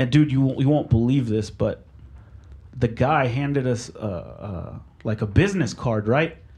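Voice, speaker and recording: The speaker talks at a fairly slow pace with lively intonation and a somewhat breathy sound. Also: man. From Mexico, raised in Oklahoma, US. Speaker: sound engineer. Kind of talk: casual interview chat.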